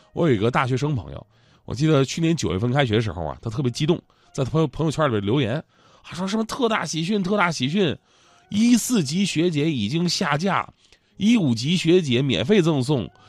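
Over music in the background, a man talks at a fairly quick pace in an animated tone, his fairly high pitch moving in very wide swings. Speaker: radio host. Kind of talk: comedic talk-show monologue.

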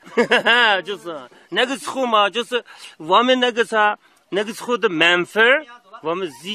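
A man speaks in a raised, projected voice at a moderate pace. His intonation is lively. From Xinjiang, Lop Nur area. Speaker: villager interviewee. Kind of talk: field interview. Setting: outdoors. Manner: halting.

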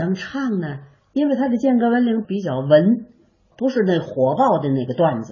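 A woman talks at a moderate pace in a somewhat breathy voice, her pitch swinging very widely. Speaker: traditional ballad singer and teacher. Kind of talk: interview reminiscence. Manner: animated.

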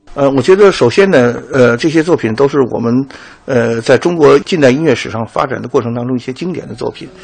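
With noticeable background noise behind him, a man speaks at a fairly quick pace and medium pitch, using ordinary pitch variation. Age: 60s. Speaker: conductor. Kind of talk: interview. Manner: halting, many fillers.

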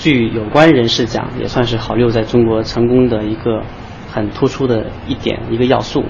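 A man talks at a moderate pace in a medium pitch, his intonation monotone and flat. Noticeable background noise and audible room echo surround him. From China, ethnic Korean community. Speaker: factory manager. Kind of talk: guided factory tour explanation.

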